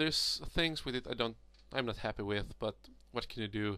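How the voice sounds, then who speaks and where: In a Swedish accent, a man speaks at a medium pitch on a very clean recording with a silent background. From Sweden. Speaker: miniature hobbyist. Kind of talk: tutorial. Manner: halting.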